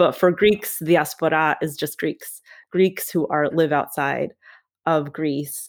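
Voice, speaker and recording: On a very clean recording with a silent background, a woman with an American accent speaks at a fairly low pitch with fairly even intonation. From Queens, New York and Cyprus. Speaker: English professor and essayist. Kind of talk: interview conversation.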